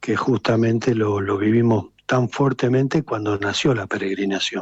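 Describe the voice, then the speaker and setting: A man with a plain, everyday voice talks at a moderate pace and a fairly low pitch. His intonation is fairly even, and the sound is dry and close with no echo. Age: 60s. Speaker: political activist. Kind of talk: radio interview.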